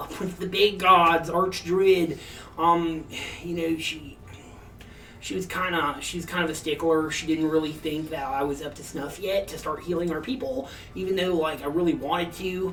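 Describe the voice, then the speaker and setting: A man does a put-on character voice, raspy and high-pitched, at a moderate pace with big swings in loudness. Clear background noise sits behind him. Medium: actual play. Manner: casual surfer-like slang, rambling.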